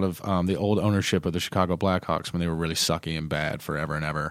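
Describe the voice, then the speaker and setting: A man with an American accent talks at a very fast pace in a very clean recording with a silent background. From North Carolina. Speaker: sports fan guest. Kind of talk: casual chat. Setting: studio.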